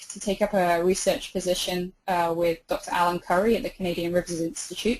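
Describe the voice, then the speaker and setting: A woman talks with a British accent at a medium pitch. Her pace is fairly quick. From England, outside London. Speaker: river researcher. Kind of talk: webinar lecture. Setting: online webinar.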